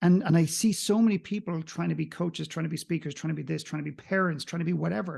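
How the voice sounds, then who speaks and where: A man with a slight Irish accent and a high pitch talks at a very fast pace with ordinary pitch variation over a quiet background. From Ireland. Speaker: coach and mentor. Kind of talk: podcast interview.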